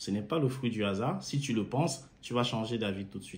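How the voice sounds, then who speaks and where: A man talks at a fairly quick pace, somewhat breathy, with lively intonation. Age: 30s. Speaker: engineer and car-sharing entrepreneur promoting a course. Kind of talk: sales pitch. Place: home room. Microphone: phone near.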